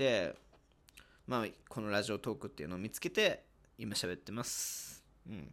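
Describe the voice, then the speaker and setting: A man at fairly low pitch with vocal fry and lively intonation, a moderate pace and long, frequent pauses. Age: 20s. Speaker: university student. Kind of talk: casual solo monologue.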